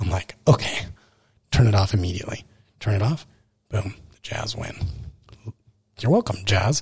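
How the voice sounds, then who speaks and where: A somewhat breathy voice with an American accent, moderate in pace, with ordinary pitch variation and long, frequent pauses. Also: man. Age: 20s. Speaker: podcast host. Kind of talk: personal monologue. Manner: casual, rambling with fillers.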